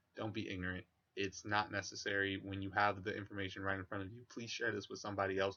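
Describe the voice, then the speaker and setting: A man mumbling at a very fast clip, fairly low-pitched, in a flat monotone. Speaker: vlogger. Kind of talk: monologue to camera.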